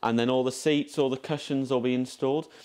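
Fairly quick speech in an English accent over a quiet background. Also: man. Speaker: carriage restoration volunteer. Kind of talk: guided tour.

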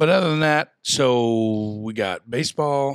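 The man's voice has ordinary pitch variation, with a dry sound that has no echo and a quiet background. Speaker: podcast host. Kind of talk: casual podcast chat. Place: studio. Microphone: studio mic.

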